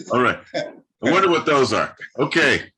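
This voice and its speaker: A man's voice with vocal fry and a bright, sharp tone. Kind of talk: casual host conversation on a live stream.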